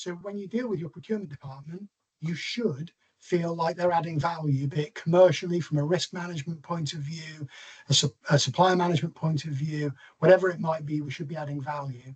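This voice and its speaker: Speaking at a fairly quick pace with a West Country accent, a man with a fairly high pitch lets his loudness swing widely. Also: ordinary pitch variation. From England, Bristol. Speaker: NHS procurement executive. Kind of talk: online presentation. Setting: video call. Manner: fast.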